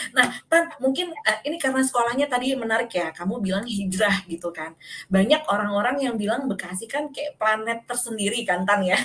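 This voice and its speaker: A woman's unremarkable speaking voice, fairly high and fairly quick, with lively intonation. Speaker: podcast host. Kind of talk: casual chat.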